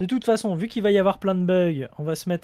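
A man talks at a fairly quick pace with a high pitch and a dark, mellow tone. The sound is dry and close, with no echo. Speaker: gaming YouTuber. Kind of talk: casual chat. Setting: video call.

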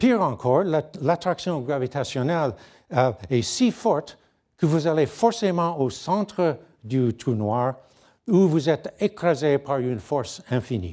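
A man with an English accent, fairly high-pitched with a dark, mellow tone, very slow pace and very wide pitch swings, against a quiet background. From Canada, near Niagara Falls; Canada. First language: English (speaking French). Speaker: physicist; guest lecturer. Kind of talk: lecture. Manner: halting, frequent hesitations. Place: hall.

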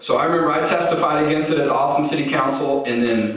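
A man speaks with ordinary pitch variation. Strong room echo surrounds his voice. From Texas (Houston). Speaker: advocacy group president and attorney. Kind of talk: keynote speech. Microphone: podium.

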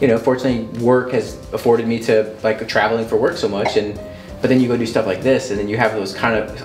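A man at a fairly quick pace with fairly even intonation, audible room echo and music in the background. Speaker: interview guest. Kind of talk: interview answer. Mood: reflective, warm, smiling. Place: home room.

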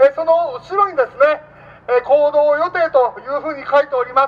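A man talks at a fairly quick pace with ordinary pitch variation. His pitch is extremely high. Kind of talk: rally announcement. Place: street.

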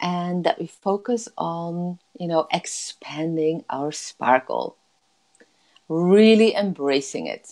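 In a soothing tone, a woman with a fairly low pitch speaks at a very slow pace. She leaves long, frequent pauses. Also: quiet background. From Netherlands. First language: Dutch. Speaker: life coach. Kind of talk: guided meditation. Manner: slow, soothing. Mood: warm, soothing, upbeat. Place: home room. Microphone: earbuds.

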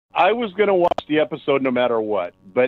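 The delivery comes at a moderate pace. It is a plain, everyday voice. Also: man. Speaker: podcast co-host. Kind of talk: casual podcast chat.

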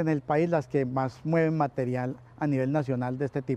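A man speaks in a dark, mellow tone with ordinary pitch variation. The sound is dry, with no echo. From Colombia, Pereira; Colombia. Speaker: recycling business manager. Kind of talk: interview. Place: factory. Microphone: lapel.

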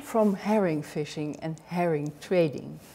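A woman with a Dutch accent, speaking at a very slow pace, with lively intonation. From Netherlands. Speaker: author and knitting historian. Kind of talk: lecture. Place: hall.

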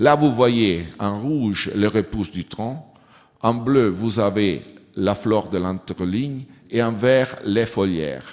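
Against a quiet background, a man talks at a very slow pace. His pitch is fairly low, with ordinary variation. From Switzerland, Italian-speaking Ticino. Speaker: agricultural researcher; conference presenter. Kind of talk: conference talk. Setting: conference hall with audience. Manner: halting, non-native phrasing. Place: hall. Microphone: podium.

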